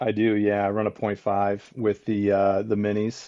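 A man's fairly low-pitched voice over a quiet background. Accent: American. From southwest Michigan. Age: 40s. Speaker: deer hunter. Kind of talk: casual interview.

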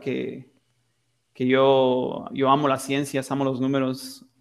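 A man of medium pitch talks at a very slow pace. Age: 20s. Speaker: engineering student. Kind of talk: interview. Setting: remote call.

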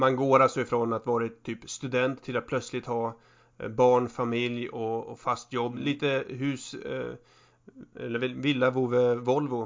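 A man talks at a fairly slow pace in a medium pitch. His intonation is monotone and flat. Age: 30s. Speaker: podcast co-host. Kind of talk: casual chat.

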